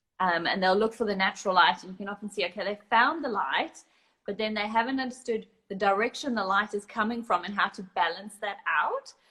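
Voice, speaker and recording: At a fairly quick pace, a woman with a South African accent speaks at a medium pitch with ordinary pitch variation. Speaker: photographer. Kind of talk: casual interview. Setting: live video call.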